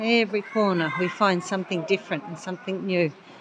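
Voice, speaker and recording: A woman with an Australian accent at medium pitch, ordinary pitch variation and a fairly quick pace, over noticeable background noise. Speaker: travel vlogger, pilgrim. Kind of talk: casual vlog chat. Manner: animated.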